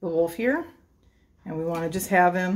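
Speaking at a moderate pace, a woman uses a fairly low pitch with ordinary pitch variation. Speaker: presenter. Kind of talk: tutorial. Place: kitchen. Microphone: camera far.

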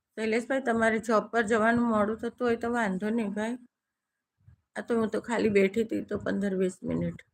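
A woman's fairly high-pitched voice carries a monotone, flat intonation. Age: 60s. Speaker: live-stream host. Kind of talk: casual live-stream chat with viewers.

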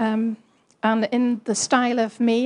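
A woman speaks with a fairly high pitch and a somewhat breathy sound. The background is quiet. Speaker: lay preacher. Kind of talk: sermon. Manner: halting.

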